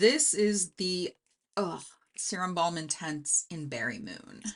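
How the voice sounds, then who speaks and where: Speech in an American accent unfolds at a very slow pace. Pitch swings very widely, and loudness swings a lot too. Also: woman, fairly low pitch for a woman. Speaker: beauty YouTuber. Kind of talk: casual tutorial. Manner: casual, thinking aloud.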